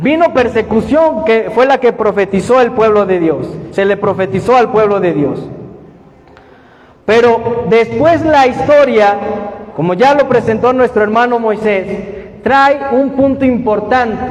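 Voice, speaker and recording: Amid noticeable background noise, a man with an extremely high pitch speaks at a fairly slow pace in an animated tone, with ordinary pitch variation, very even loudness, and long, frequent pauses. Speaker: bible study teacher. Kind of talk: bible study lecture with audience questions. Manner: animated, questioning.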